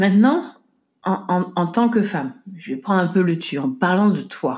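Very clean recording of a woman's dark, mellow tone against a silent background. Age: 40s. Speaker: podcast host and home organization coach. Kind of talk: solo podcast monologue. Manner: halting, frequent repetitions and fillers.

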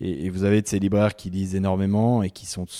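The man's very deep, low voice has a dark, mellow tone and a monotone, flat intonation. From French Alps, Haute-Savoie. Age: 30s. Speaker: writer. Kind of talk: casual interview. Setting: at his home by a lake. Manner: halting, many repetitions and fillers.

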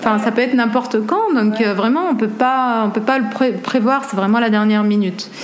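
Through audible room echo and noticeable background noise, a woman speaks at a moderate pace with a fairly high pitch and fairly even intonation. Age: 30s. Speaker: photographer. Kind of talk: interview.

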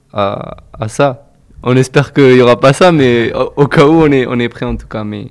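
A man talks with ordinary pitch variation. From Toulouse, France. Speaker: football team manager. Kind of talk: interview. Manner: halting.

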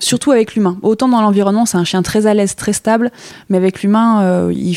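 Using an unremarkable speaking voice, a woman talks at a fairly quick pace with ordinary pitch variation. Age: 30s. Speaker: dog breeder. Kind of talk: casual interview. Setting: at guest's home with puppies.

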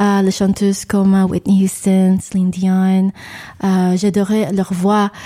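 Very slow and very even in loudness, a woman's dark, mellow voice keeps a monotone, flat intonation. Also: medium pitch for a woman. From New York, Long Island. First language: English (speaking French). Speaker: singer and vocal coach. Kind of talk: radio interview. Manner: halting.

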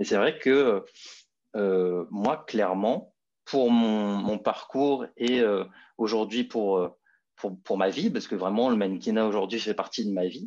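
A man talks at a fairly slow pace in a fairly low pitch. His pitch varies in an ordinary way, and the background is quiet. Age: 20s. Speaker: fashion model. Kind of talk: interview. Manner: halting.

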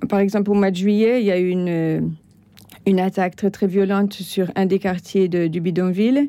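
A woman speaks at a medium pitch and a moderate pace. Her intonation is fairly even and her loudness very even. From France. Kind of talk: interview. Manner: halting.

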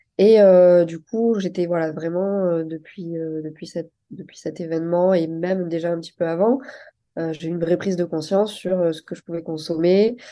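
In a dark, mellow tone, the speaker keeps fairly even intonation at a moderate pace, with big swings in loudness. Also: woman, fairly low pitch for a woman. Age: 30s. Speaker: entrepreneur. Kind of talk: interview. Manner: hesitant, many fillers.

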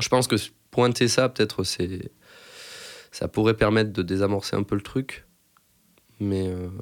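A man speaks at a fairly slow pace with fairly even intonation and long, frequent pauses. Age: 30s. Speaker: computer science researcher. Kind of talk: interview testimony. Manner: halting, many fillers.

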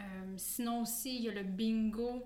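Noticeable background noise and audible room echo surround a woman's fairly high-pitched voice. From Quebec. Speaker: dietitian. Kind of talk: casual interview.

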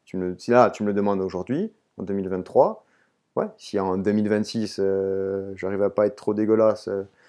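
This man's voice has a fairly low pitch. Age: 30s. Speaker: trail runner and urban planner. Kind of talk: interview. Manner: halting.

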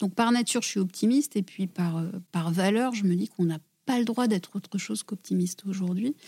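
Dry and close with no echo, a woman's voice sits at medium pitch with a dark, mellow tone and some breathiness. She talks at a fairly quick pace with ordinary pitch variation. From southwest France (Gers). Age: 40s. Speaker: environmental foundation director. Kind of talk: interview. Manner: hesitant, frequent repetitions.

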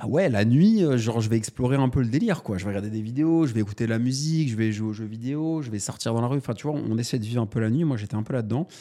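In a very clean recording with a silent background, a man with a dark, mellow tone talks at a very fast pace with ordinary pitch variation. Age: 30s. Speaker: entrepreneur and author, podcast co-host. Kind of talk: casual chat.

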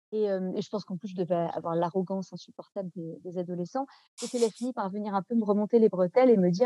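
At medium pitch and a fairly quick pace, a woman speaks with a dark, mellow tone and ordinary pitch variation, in a dry, close sound with no echo. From France, Nantes. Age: 30s. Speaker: novelist and translator. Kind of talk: interview. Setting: podcast interview. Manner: halting, many hesitations.

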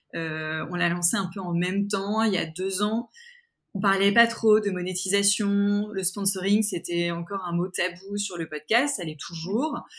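Recorded very cleanly against a silent background, a woman speaks at a fairly slow pace and medium pitch with ordinary pitch variation. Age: 40s. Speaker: podcaster and entrepreneur. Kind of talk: interview conversation. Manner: hesitant, many fillers and repetitions.

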